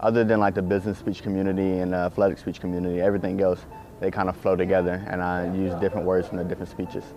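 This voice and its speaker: Over music in the background, a man with a Southern US accent talks very fast in a very deep, low voice with monotone, flat intonation. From US South. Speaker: student athlete, business major, interviewee. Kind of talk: interview answers.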